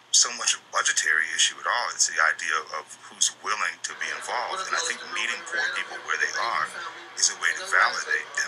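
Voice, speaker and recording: The pace is fairly quick as a man speaks. Music sounds faintly behind him. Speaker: interview guest. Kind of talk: interview answer.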